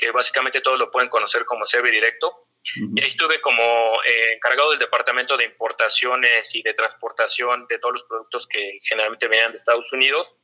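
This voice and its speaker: This man talks at a fairly quick pace. He has a Mexico City accent. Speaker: sales negotiator in energy sector. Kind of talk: interview. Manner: halting.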